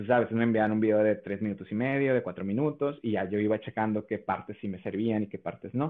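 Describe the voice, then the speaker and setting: Very fast delivery with hardly any pauses and fairly even intonation. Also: man, fairly low pitch for a man. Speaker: content creator and voice impressionist. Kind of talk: casual interview.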